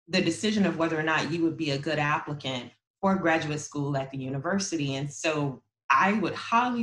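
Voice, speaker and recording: A woman talks at a fairly quick pace. Her pitch is very deep and low, with ordinary variation. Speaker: university graduate admissions administrator. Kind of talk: panel presentation. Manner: fast.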